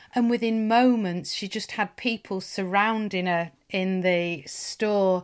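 A woman with a Lancashire accent speaks at a very slow pace, medium in pitch with fairly even intonation, on a very clean recording with a silent background. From northern England (Lancashire). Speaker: podcast host. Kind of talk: casual interview chat.

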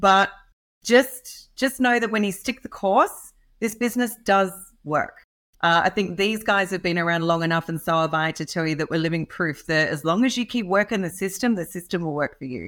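A woman with an Australian accent and lively intonation at a moderate pace, in a very clean recording with a silent background. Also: medium pitch for a woman. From rural Australia. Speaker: real estate entrepreneur. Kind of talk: podcast interview. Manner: animated.

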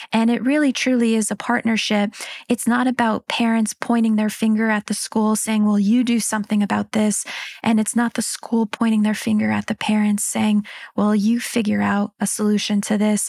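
A woman with an American accent speaks at a moderate pace in a fairly high, somewhat breathy voice, her intonation monotone and flat and her loudness very even, on a very clean recording with a silent background and a dry, close sound with no echo. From Pennsylvania, small town. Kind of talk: interview.

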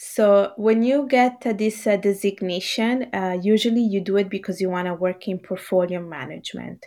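A woman speaks at medium pitch with a dark, mellow tone. The recording is very clean, with a silent background. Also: ordinary pitch variation, moderate pace. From Italy. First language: Bengali. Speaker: author, teacher and financial analyst. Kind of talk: casual interview.

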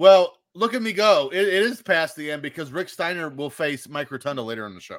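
Lively intonation and big swings in loudness mark this fairly quick delivery in an American accent. The recording is very clean, with a silent background. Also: man, high pitch for a man. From Indiana. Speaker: podcast host. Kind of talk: casual chat.

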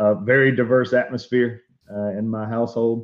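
An Alabama accent at a moderate pace with fairly even intonation. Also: man. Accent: Southern US (Alabama). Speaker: pastor and technology evangelist. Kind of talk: interview. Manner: halting.

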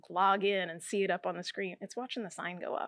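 A woman's normal speaking voice at a medium pitch and moderate pace, fairly even in intonation, on a very clean recording with a silent background and a dry, close sound with no echo. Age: 40s. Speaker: hair salon owner. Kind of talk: interview. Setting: in her salon.

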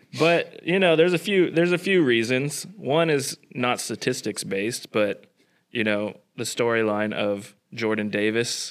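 A man with an American accent and a plain, everyday voice, at a moderate pace, on a very clean recording with a silent background. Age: 20s. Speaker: stand-in podcast host. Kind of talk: casual chat.

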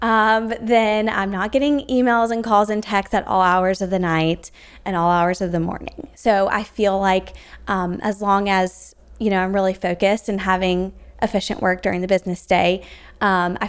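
On a very clean recording with a silent background, a woman has a plain, everyday voice, a medium pitch and fairly even intonation. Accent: American. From South Carolina. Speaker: recruiter. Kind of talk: interview.

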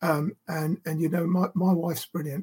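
Speaking at a moderate pace, a man uses a high-pitched voice. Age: 60s. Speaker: retired police officer, adoptive father. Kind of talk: casual faith chat. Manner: hesitant, many fillers.

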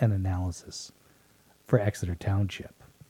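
A man's fairly low, somewhat breathy voice with a dark, mellow tone, at a moderate pace. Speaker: local news podcast host and writer. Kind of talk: casual chat.

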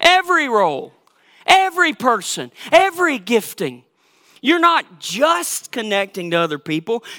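A man with a Southern US accent and an extremely high pitch, raised and projected, bright and sharp in tone, with very wide pitch swings at a moderate pace, on a very clean recording with a silent background. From Georgia, US South. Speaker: pastor. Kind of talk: sermon. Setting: church.

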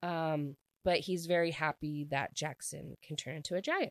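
The sound is dry and close, without any echo. A woman talks in an animated tone. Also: quiet background. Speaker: book podcast host. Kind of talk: solo book review monologue.

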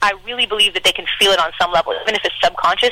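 A woman talks very fast while noticeable noise runs in the background. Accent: Canadian. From Canada. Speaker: singer-songwriter and producer. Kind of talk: casual interview.

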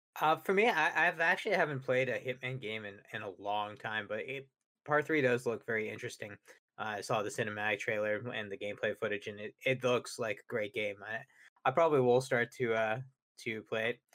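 A man talks at a fairly quick pace in a medium-pitched, bright, sharp tone. His pitch varies in an ordinary way while his loudness swings widely. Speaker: gaming show co-host. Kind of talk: casual chat about video games.

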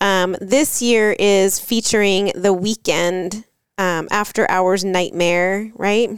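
A woman with an American accent speaks very slowly at a medium pitch, keeping fairly even intonation and very even loudness. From Florida. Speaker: travel podcast co-host. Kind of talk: casual chat.

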